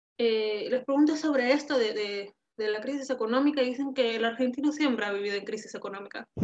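This woman has a high-pitched voice. Her pitch variation is ordinary. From Peru, Tacna. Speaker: emigrant interviewee. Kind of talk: interview. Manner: halting.

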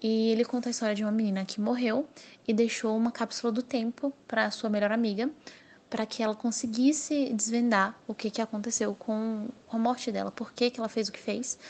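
At a fairly quick pace, a woman talks in a somewhat breathy, fairly high voice with monotone, flat intonation. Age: 20s. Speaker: novelist. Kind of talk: interview monologue.

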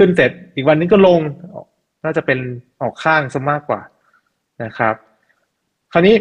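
This man has an unremarkable speaking voice, pitched fairly high, with ordinary pitch variation. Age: 30s. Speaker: technical-analysis investor and trading teacher. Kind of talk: interview.

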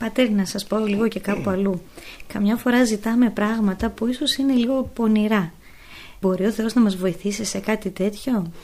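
A woman speaks at a fairly high pitch. Her tone is dark and mellow, and somewhat breathy. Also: fairly even intonation, moderate pace. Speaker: radio host and nun. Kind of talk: interview questions.

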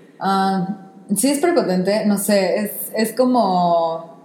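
Noticeable background noise and audible room echo around a woman's voice with ordinary pitch variation. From Mexico. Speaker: podcast co-host. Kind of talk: casual chat.

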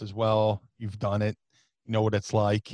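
A man at fairly low pitch speaks at a moderate pace, with a dry, close sound with no echo. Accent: American. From US Northeast, South Jersey / Philadelphia area. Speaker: professional wrestler. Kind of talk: casual interview chat. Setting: remote call.

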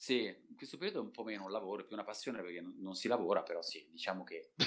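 A man is speaking. His pace is very fast. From Italy, Turin. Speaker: voice actor. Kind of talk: casual chat.

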